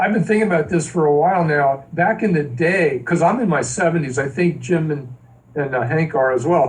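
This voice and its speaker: A man speaks at a moderate pace with a fairly high pitch and ordinary pitch variation. His loudness stays very even over noticeable background noise. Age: 70s. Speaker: musician. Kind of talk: casual interview. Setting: video call.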